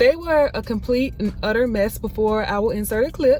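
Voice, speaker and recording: Noticeable background noise surrounds a woman talking at a moderate pace. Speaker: vlogger. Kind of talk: casual vlog chat. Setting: outdoors running errands.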